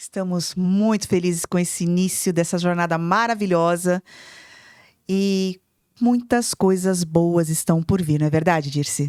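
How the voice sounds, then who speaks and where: Fairly low pitch from a woman, captured on a very clean recording against a silent background. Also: fairly slow pace. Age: 50s. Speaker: podcast co-host, entrepreneur and mentor. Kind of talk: casual podcast chat. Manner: animated.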